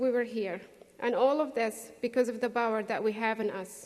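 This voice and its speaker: A woman with a non-native accent speaks at a fairly slow pace in a fairly high voice with fairly even intonation. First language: not English. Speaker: graduating student speaker. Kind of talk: graduation speech.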